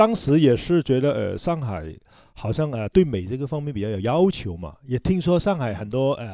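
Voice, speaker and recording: A man in a Hong Kong accent, medium-pitched with a dark, mellow tone, very wide pitch swings and a moderate pace, on a very clean recording with a silent background. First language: Cantonese (speaking Chinese). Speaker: hairdresser and salon owner. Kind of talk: casual chat.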